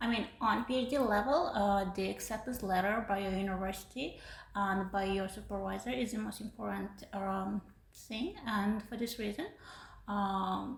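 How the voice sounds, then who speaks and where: A woman's medium-pitched voice with vocal fry, a moderate pace, and fairly even intonation. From Uzbekistan. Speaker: PhD student. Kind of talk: podcast interview. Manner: hesitant, many fillers.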